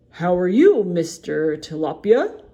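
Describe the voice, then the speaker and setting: Using a put-on character voice, a woman speaks at a fairly slow pace with medium pitch and ordinary pitch variation. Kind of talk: bedtime story. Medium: read story. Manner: warm, friendly, encouraging.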